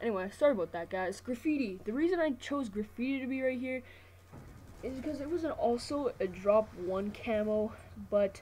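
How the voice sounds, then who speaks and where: A woman's high voice has a dark, mellow tone and lively intonation. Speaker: gaming commentator. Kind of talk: gameplay commentary. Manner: fast; casual.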